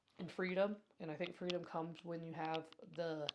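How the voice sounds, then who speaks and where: A woman speaks with an American accent at a fairly low pitch. Her pace is fairly quick. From Colorado. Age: 30s. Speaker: yoga teacher and podcast host. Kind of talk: casual podcast monologue. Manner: fast.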